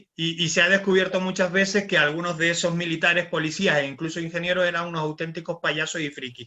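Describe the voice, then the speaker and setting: A man talks very fast with hardly any pauses, in a high pitch for a man. His intonation is monotone and flat, in a Canarian accent. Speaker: radio-style show host. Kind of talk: panel discussion.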